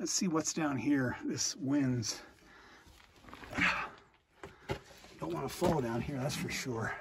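A man speaks at a fairly slow pace against noticeable background noise. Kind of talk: casual exploration commentary. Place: tunnel cave. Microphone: phone near.

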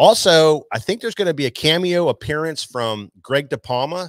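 The man's voice comes through with a dry sound with no echo over a quiet background. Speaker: show host. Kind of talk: live show announcements. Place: shop. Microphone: studio mic.

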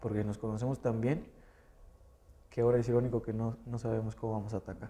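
A man talks at a very fast pace with long, frequent pauses and monotone, flat intonation. His medium-pitched voice is somewhat breathy, with a dark, mellow tone. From Mexico, San Luis Potosí. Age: young. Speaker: professional wrestler. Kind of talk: interview.

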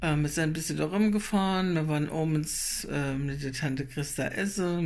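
A woman speaks with a very deep, low pitch and ordinary pitch variation. Her pace is fairly slow. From Germany, Lohrheim area (Rhein-Lahn, Nassau); Germany. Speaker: vlogger. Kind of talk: casual travel vlog. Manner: hesitant with fillers. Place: home room. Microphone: phone near.

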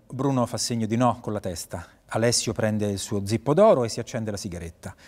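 Ordinary pitch variation over music in the background. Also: man, fairly quick pace. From Italy. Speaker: actor and voice actor (dubbing). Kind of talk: short-film script reading, narrating scene directions and playing all characters. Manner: neutral narration of scene directions. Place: stage.

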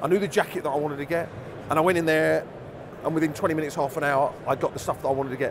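Background noise is noticeable throughout. The voice is a man's. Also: dry sound with no echo. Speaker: interviewee. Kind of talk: interview answer. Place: hall.

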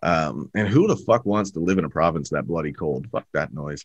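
With an Ontario accent, a man speaks in a very deep, low pitch with ordinary pitch variation. The sound is dry, with no echo. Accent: Canadian (Ontario). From Canada, Toronto, Ontario. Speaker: podcast host. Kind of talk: casual chat. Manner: animated. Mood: jokey, profane, animated. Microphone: video call.

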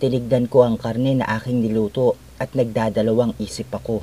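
A man is talking here. His voice is pitched in the middle. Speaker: horror story narrator. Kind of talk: scripted horror story narration in first person, with quoted dialogue. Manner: dramatic, suspenseful, voicing characters' lines.

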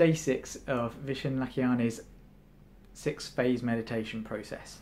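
The speech comes at a fairly slow pace with a calm tone and long, frequent pauses. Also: man. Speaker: meditation enthusiast. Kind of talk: guided meditation. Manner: calm, instructive, conversational. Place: home room.

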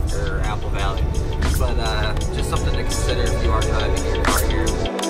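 A man talks at a moderate pace. Loud music plays in the background. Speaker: car enthusiast vlogger. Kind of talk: casual vlog chat. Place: car. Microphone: phone near.

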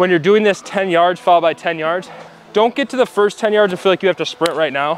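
The speech moves at a very fast pace with fairly even intonation. Faint music plays in the background, and the sound is dry with no echo. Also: man. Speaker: trainer coaching an athlete. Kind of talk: coaching instruction. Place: hall.

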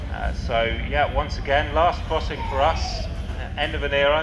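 Background noise can be clearly heard. Over it, a man talks. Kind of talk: public address announcement. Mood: calm, slightly nostalgic.

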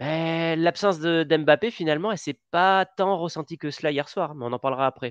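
A man's fairly high voice, a plain, everyday voice, at a moderate pace with hardly any pauses and ordinary pitch variation, dry with no echo over a quiet background. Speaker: football podcast host. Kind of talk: casual sports chat. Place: home room. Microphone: headset.

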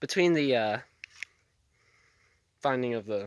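Here a man speaks fairly quickly. The recording is dry, with no echo. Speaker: vlogger. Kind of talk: casual vlog chat. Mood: relaxed, chatty. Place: open country. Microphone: phone near.

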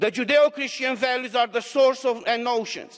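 A man with a Romanian accent speaks at an extremely high pitch. His pace is moderate, and the background is quiet. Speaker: member of parliament. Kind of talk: parliament speech. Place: hall. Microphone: podium.

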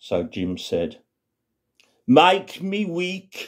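Against a quiet background, a dark, mellow tone comes through at a very slow pace. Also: man. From West Midlands, England. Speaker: storyteller. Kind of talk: comic storytelling monologue. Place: home room. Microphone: phone near.

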